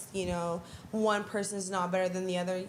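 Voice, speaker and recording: At a moderate pace, a woman talks while audible room echo surrounds her. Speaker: performer and show organizer. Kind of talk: interview. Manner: casual, with many fillers.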